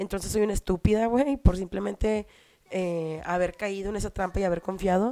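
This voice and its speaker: With a Mexican accent, a woman speaks at a moderate pace and medium pitch in a dark, mellow tone, in a dry, close sound with no echo. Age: 30s. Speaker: podcast host. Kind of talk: casual monologue. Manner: animated.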